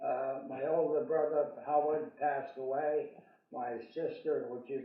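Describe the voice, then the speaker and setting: Audible room echo surrounds a man whose fairly high voice has fairly even intonation. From New England, Vermont. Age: 90s. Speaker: church parishioner, military veteran. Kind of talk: oral history storytelling. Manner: halting, frequent fillers.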